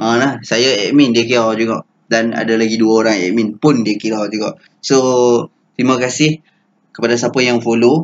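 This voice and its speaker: A man's plain, everyday voice at medium pitch, moderate pace and fairly even intonation. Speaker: stock trading educator. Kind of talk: tutorial. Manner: casual, filler-heavy.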